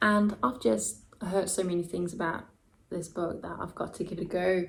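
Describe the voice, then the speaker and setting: Here a woman speaks at a fairly low pitch, with vocal fry. Her pace is moderate and her pitch varies in an ordinary way. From Denmark. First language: Danish. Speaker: booktuber. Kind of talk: casual vlog talk to camera. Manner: animated.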